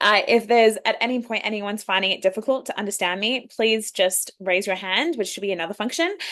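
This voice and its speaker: A woman with an Australian accent talks with ordinary pitch variation. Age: 20s. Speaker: youth leadership program founder and facilitator. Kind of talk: online workshop presentation. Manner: fast when excited.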